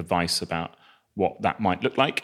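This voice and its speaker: A man with a southern English accent on a very clean recording with a silent background. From England, Northampton. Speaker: charity chief executive. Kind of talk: interview conversation. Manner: hesitant, many fillers.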